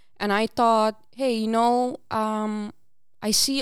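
A woman with a Curaçao accent speaks at a fairly high pitch in a very clean recording with a silent background. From Aruba. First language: Papiamento. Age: 20s. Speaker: student peer coach. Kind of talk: casual interview.

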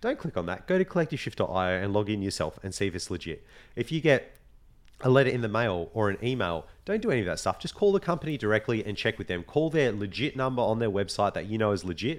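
Very fast speech in an Australian accent with very wide pitch swings, on a very clean recording with a silent background. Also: man, medium pitch for a man. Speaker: podcast host. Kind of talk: casual chat.

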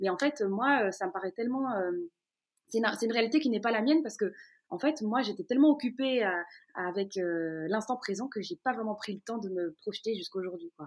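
Fairly quick and lively in intonation, a plain, everyday voice carries the speech. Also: woman, fairly high pitch for a woman. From Brussels, Belgium. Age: 20s. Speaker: radio host. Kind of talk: interview. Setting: at home in her living room.

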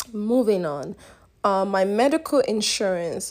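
Fairly slow delivery from an ordinary speaking voice, its pitch varying in an ordinary way. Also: woman. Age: 20s. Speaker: podcast host. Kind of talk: casual solo podcast monologue. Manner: laughs often while talking.

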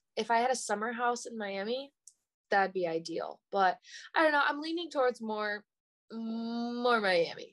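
A woman speaks in a normal speaking voice with an American accent, fairly high in pitch and at a moderate pace. The recording is very clean with a silent background. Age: 20s. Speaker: date guest. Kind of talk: casual chat.

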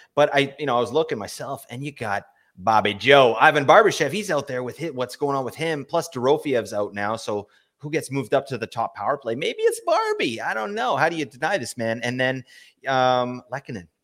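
This is a normal speaking voice from a man at a medium pitch. He talks at a fairly quick pace with ordinary pitch variation. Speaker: podcast co-host, fantasy hockey analyst. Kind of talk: casual podcast chat about fantasy hockey. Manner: jokey, bantering.

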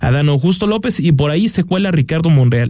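Talking at a moderate pace, a man with a plain, everyday voice uses lively intonation. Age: 20s. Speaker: radio host. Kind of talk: radio interview.

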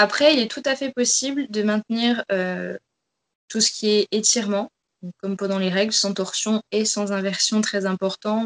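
An ordinary speaking voice comes from a woman at medium pitch with ordinary pitch variation. She talks at a fairly slow pace, and the sound is dry and close with no echo. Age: 20s. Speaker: fitness coach. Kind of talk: interview.

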